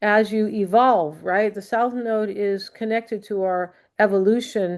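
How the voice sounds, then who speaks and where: A normal speaking voice comes through with ordinary pitch variation. The background is quiet. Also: woman. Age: 60s. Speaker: astrologer. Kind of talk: astrology forecast monologue. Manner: casual, many fillers.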